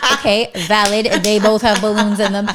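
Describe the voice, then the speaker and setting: A woman's normal speaking voice at a medium pitch and fairly quick pace, in a very clean recording with a silent background. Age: 30s. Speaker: podcast co-host. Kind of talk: casual chat.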